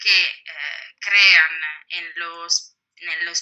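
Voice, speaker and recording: Medium pitch and fairly even intonation from a woman. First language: Italian (speaking Spanish). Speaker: historian, book author. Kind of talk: interview. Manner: hesitant, many fillers.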